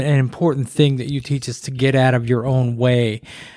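At a moderate pace, a man talks in a plain, everyday voice at medium pitch. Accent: American. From Corsicana, Texas. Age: 50s. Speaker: podcast host. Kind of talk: casual chat.

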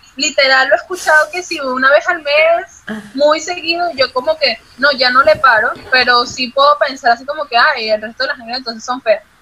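Speaking at a moderate pace with hardly any pauses and ordinary pitch variation, the voice comes through noticeable background noise. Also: woman, high pitch for a woman. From Venezuela. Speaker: model and athlete. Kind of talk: casual chat. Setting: video call.

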